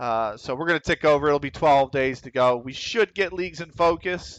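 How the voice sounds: A man with a Pennsylvania accent speaks at a moderate pace and a fairly high pitch, with ordinary pitch variation. His fairly bright tone comes through a dry, close sound with no echo. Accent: Pennsylvania American.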